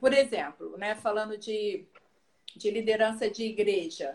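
A woman speaking at a fairly high pitch. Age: 40s. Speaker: pastor. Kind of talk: casual chat.

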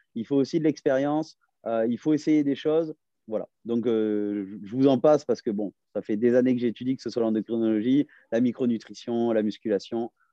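Here a man talks at a moderate pace. His pitch is medium with ordinary variation. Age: 30s. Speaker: fitness and nutrition coach. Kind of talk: casual interview. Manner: hesitant, many fillers.

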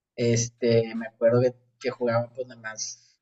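The man's voice is somewhat breathy, and his intonation stays monotone and flat. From Monterrey, Mexico. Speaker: podcast guest. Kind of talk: casual chat.

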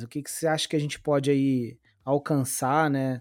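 A man's fairly high voice moves along at a very slow pace. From Brazil, Rio de Janeiro. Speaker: podcast host. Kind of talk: casual podcast chat.

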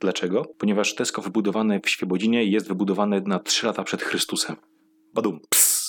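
Very fast male speech at a fairly low pitch with very even loudness. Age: 20s. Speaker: comedian. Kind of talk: stand-up. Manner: animated.

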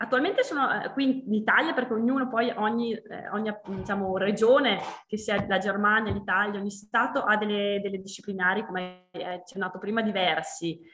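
Over noticeable background noise, a woman talks at a fairly quick pace and a medium pitch. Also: ordinary pitch variation. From Trentino, Italy. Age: 30s. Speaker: winemaker. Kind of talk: interview. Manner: halting.

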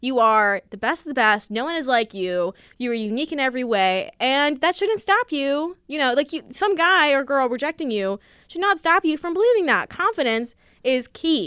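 Speaking with an American accent at a moderate pace, the voice has a bright, sharp tone and very wide pitch swings, in a very clean recording with a silent background and a dry, close sound with no echo. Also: woman, high pitch for a woman. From US Midwest. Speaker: college podcast co-host. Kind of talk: casual chat. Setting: studio. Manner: animated.

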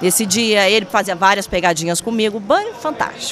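There is noticeable background noise as a woman speaks at a moderate pace. Her voice is fairly high, with an animated tone. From Espírito Santo, Brazil (Vitória). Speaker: TV presenter. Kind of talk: casual chat.

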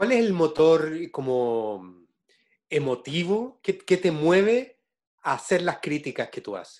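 A man talks in a Chilean accent at a fairly high pitch, his voice swinging very widely up and down. He goes at a very slow pace against a quiet background. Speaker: interviewer, theatre director. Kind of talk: interview conversation.

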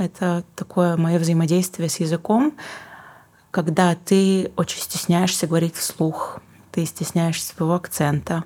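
A woman's dark, mellow tone sits fairly low in pitch, with fairly even intonation and very even loudness. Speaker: singer-songwriter and book publisher. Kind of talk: casual interview.

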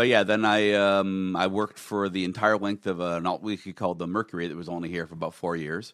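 Very fast with hardly any pauses, a man with a very deep, low pitch speaks in fairly even intonation on a very clean recording with a silent background. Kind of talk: casual banter. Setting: studio.

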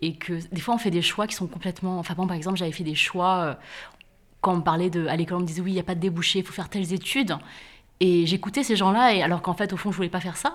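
Very fast speech with fairly even intonation in a very clean recording with a silent background. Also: woman. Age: 40s. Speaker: author and podcaster. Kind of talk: casual conversation. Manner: hesitant, many fillers.

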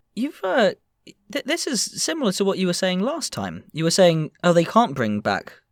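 A man speaks at a moderate pace with an English accent. The sound is dry and close, with no echo. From England. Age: 20s. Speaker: podcast host. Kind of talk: casual chat.

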